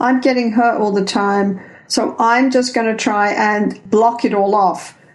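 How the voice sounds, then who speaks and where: Against noticeable background noise and audible room echo, a woman with an English accent speaks at a fairly slow pace, her fairly high voice keeping very even loudness and fairly even intonation. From England. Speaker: couples therapist and researcher. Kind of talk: interview.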